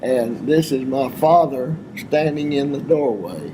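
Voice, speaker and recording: A man with a Texan accent and a fairly high pitch, ordinary pitch variation, and noticeable background noise. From Texas, Abilene. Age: 90s. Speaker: war veteran. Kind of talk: oral history interview. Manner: halting.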